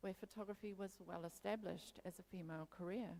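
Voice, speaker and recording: A woman speaks with a New Zealand accent. Her tone is dark and mellow, her intonation fairly even. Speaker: photography historian. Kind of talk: conference talk. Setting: stage with audience.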